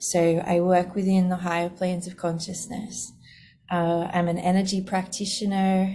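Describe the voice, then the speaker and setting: At a fairly slow pace, a woman with an Australian accent speaks in a fairly low pitch with monotone, flat intonation. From Australia, Sydney. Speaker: spiritual teacher and podcast host. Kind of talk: casual monologue. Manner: relaxed, easy flowing.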